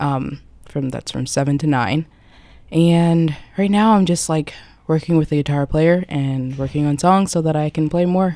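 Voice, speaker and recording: Soft-spoken, a woman with a very deep, low voice and a dark, mellow tone talks at a moderate pace with ordinary pitch variation. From Philadelphia. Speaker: singer-songwriter. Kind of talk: interview. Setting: studio.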